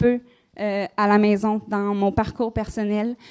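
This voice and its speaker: A woman speaks in a Quebec accent at a fairly slow pace. Her fairly high voice has a monotone, flat intonation. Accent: Québécois French. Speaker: conference speaker on magic. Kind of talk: live conference talk. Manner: casual, many hesitations.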